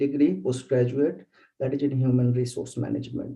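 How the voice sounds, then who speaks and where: A man's dark, mellow voice with an Indian accent, at a moderate pace, in audible room echo. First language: Bengali. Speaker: bioinformatics researcher. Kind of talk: lecture. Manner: halting.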